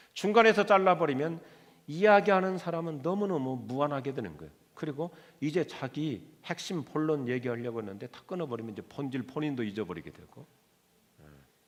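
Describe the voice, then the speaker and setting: A man speaks at a fairly quick pace and a fairly high pitch. His pitch swings very widely and his loudness varies a lot. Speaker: pastor. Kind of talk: sermon. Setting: church.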